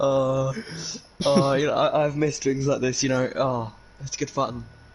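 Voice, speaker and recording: Against noticeable background noise, a man with a fairly high voice speaks at a moderate pace in a monotone, flat intonation. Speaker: esports commentator. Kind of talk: casual chat. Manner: hesitant, many fillers.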